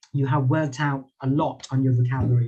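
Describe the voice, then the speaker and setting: Somewhat breathy, with a dark, mellow tone, a man speaks at a medium pitch and a moderate pace with fairly even intonation. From Thailand. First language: Thai. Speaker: public speaking lecturer. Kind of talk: lecture. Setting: video call. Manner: halting.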